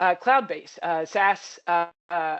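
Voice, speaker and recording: The pitch is medium. It belongs to a woman. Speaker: product specialist presenter. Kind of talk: webinar presentation. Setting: online webinar. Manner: fast.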